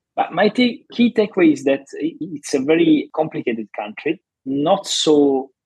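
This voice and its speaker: A man speaks with an Italian accent at a fairly slow pace. His pitch swings very widely. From Italy. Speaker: journalist and foreign policy analyst. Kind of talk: interview. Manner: halting, with repetitions.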